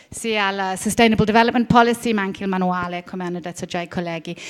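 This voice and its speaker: With a strong English accent, a woman talks with ordinary pitch variation. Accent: strong English accent in Italian. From Britain. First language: English (speaking Italian). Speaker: heritage management expert and lecturer. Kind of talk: conference talk. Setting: conference hall with audience, seated. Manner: halting, many fillers.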